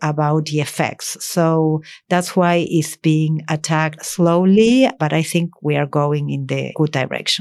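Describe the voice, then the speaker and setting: The recording is very clean, with a silent background. A woman speaks in a fairly low voice with fairly even intonation. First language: Spanish. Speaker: diplomat. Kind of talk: interview.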